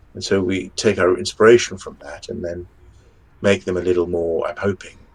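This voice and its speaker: Speaking at a fairly quick pace, a man talks with a strong English accent. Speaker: fantasy author. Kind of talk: podcast interview.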